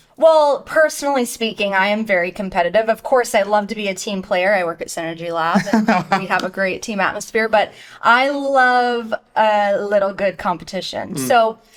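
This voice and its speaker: This woman has a plain, everyday voice, speaking at medium pitch and a moderate pace with lively intonation. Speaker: marketing manager, podcast host. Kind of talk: podcast host talk. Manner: upbeat, playful.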